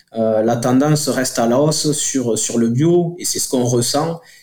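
Speaking at a fairly slow pace, a man has a dark, mellow tone at medium pitch with ordinary pitch variation. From southern France, Toulouse area. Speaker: company director. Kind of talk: radio interview. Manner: halting.

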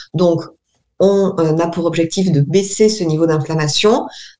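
Audible room echo surrounds a woman with a fairly low pitch and fairly even intonation. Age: 30s. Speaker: naturopath. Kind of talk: radio interview. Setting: remote call with camera. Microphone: poor remote audio.

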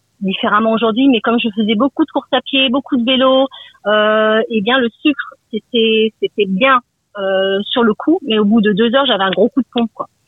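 Fairly high-pitched speech from a woman, moderately paced and with ordinary pitch variation. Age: 50s. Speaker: radio caller. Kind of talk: phone-in testimony.

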